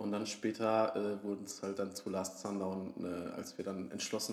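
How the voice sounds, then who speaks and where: A man speaks at a moderate pace in a fairly low pitch, his intonation flat and monotone. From Franconia, Germany (Würzburg area). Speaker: band musician, podcast co-host. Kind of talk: casual chat. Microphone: quieter, sits farther from the mic.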